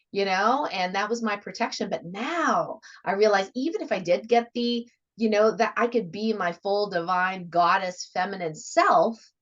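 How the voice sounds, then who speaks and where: An unremarkable speaking voice with an American accent has lively intonation. The pace is moderate. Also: woman, medium pitch for a woman. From United States. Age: 50s. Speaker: radio host. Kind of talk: interview.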